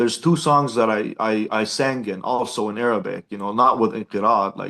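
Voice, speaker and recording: Man's bright, sharp tone at medium pitch, ordinary pitch variation and a fairly quick pace. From Jordan. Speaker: punk band singer. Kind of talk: interview. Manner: casual, filler-heavy.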